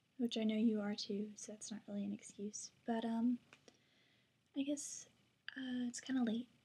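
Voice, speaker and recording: Quiet and dark, mellow in tone, a woman speaks at a fairly high pitch. Her pace is moderate and her pitch varies in an ordinary way. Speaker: college student vlogger. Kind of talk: casual vlog. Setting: at home at night. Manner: hesitant with fillers.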